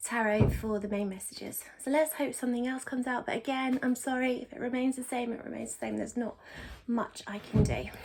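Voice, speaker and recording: Over noticeable background noise, a woman talks at a fairly quick pace in a high pitch with monotone, flat intonation. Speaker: tarot reader. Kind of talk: tarot reading. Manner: fast; casual, with fillers.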